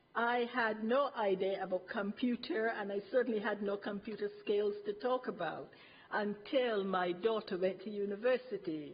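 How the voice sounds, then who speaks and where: With an ordinary speaking voice, a woman talks at a moderate pace using ordinary pitch variation. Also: medium pitch for a woman. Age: 60s. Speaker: retired health visitor, resident speaker. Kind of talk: prepared testimony at council meeting. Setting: council cabinet meeting. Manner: formal.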